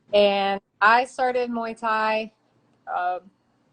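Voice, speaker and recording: Using a normal speaking voice, a woman with an American accent talks at a fairly high pitch with fairly even intonation. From western Maryland, US. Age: 30s. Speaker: Muay Thai fighter. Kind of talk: interview. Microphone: too quiet.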